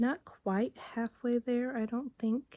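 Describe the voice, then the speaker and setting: A soft-spoken woman at a moderate pace. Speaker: book vlogger. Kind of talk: casual vlog.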